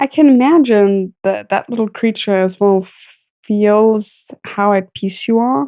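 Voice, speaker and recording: A woman at medium pitch speaks at a fairly slow pace with hardly any pauses, a dark, mellow tone, ordinary pitch variation and big swings in loudness, in a dry, close sound with no echo. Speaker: podcast co-host. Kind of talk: casual chat.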